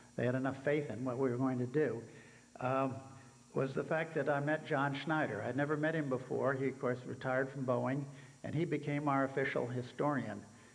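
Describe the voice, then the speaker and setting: In a room with audible echo, a man talks fairly quickly at medium pitch in a flat monotone. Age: 80s+. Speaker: helicopter museum founder. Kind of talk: speech to conference audience. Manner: halting, many fillers.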